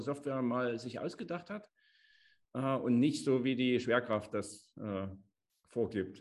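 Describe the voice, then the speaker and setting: Speaking at a medium pitch, a man lets his voice vary in pitch in an ordinary way. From Chemnitz, Saxony. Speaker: podcast co-host. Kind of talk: casual chat.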